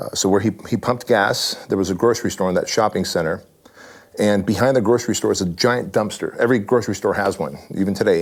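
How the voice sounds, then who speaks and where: A fairly quick pace in a Californian accent. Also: man. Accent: Californian American English. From Armenia, raised in southern California. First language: Armenian. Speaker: fitness franchise owner and author. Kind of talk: interview. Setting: in person at his headquarters.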